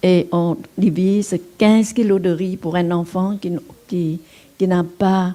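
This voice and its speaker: At a very slow pace, a woman with a fairly low pitch speaks using fairly even intonation. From Vietnam. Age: 80s+. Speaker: Buddhist nun and teacher. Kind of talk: dharma talk. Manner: halting.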